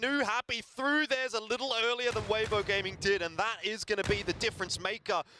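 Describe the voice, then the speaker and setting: A man with an Australian accent uses a raised, projected voice, high in pitch and bright and sharp in tone, at a moderate pace. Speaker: esports caster. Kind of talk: live commentary.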